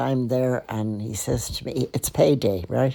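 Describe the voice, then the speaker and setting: In a Dublin accent, a woman speaks at a fairly slow pace. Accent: Dublin Irish. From Ireland, Dublin. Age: 80s+. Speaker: podcaster and storyteller. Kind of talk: personal storytelling. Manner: conversational.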